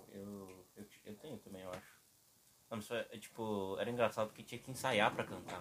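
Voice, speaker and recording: Loudness rises and falls sharply in this unremarkable speaking voice. The intonation stays fairly even and the pace is moderate. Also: man, fairly low pitch for a man. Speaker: podcast co-host. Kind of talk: casual chat.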